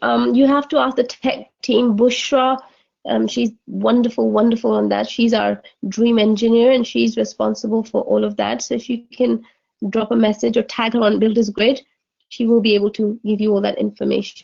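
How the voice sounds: A woman's fairly high voice with vocal fry, a slightly mellow tone, little pitch movement, and a moderate pace.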